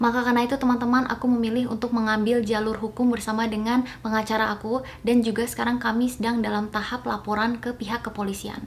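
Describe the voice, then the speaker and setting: Over noticeable background noise, the voice races at a very fast pace in monotone, flat intonation with hardly any pauses. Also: woman, fairly high pitch for a woman. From Indonesia (Bali). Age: 30s. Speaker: YouTuber. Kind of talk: public clarification statement. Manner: formal.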